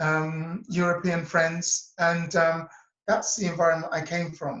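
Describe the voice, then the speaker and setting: A man with a high pitch talks at a very slow pace. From England, near Cambridge. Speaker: interview guest, self-worth coach. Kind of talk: interview.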